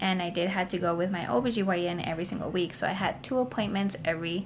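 Light noise in the background behind a woman at a moderate pace. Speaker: mother vlogger. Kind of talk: casual vlog story time. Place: home room. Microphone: phone near.

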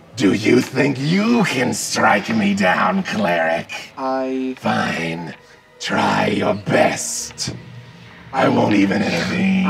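A put-on character voice speaks at a very slow pace over faint music in the background. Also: man, medium pitch for a man. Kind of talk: game master voicing villain. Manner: mocking, menacing, contemptuous.

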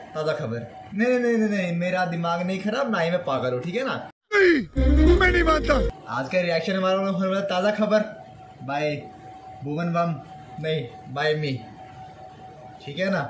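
Fairly slow speech from a man at a high pitch, with long, frequent pauses and music in the background. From Nepal. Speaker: YouTube reaction vlogger. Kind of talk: casual talk to camera. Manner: joking, playful. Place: home room. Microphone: phone near.

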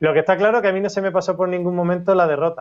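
A man speaks at a high pitch. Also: quiet background. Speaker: schoolteacher; interview guest. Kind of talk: interview testimony. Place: home room. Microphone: video call.

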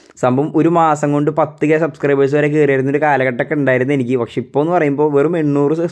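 A man speaks at a fairly high pitch. His intonation is fairly even throughout. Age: young. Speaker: gaming YouTuber. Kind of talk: game mod review. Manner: halting.

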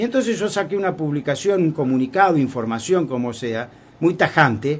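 Speaking at a fairly quick pace, a man with an unremarkable speaking voice uses lively intonation at a fairly high pitch. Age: 60s. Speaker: foundation director. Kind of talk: radio interview.

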